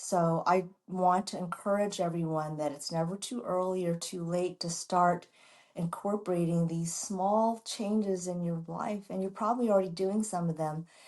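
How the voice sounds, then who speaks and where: With an American accent, a woman speaks in a plain, everyday voice at medium pitch, a moderate pace and fairly even intonation. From US Midwest, Chicago. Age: 60s. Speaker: doctor and model. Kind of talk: interview.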